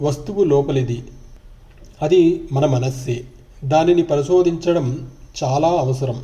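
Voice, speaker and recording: A man speaks in a calm tone at a fairly high pitch, somewhat breathy, with a dark, mellow tone and ordinary pitch variation. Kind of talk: spiritual book reading.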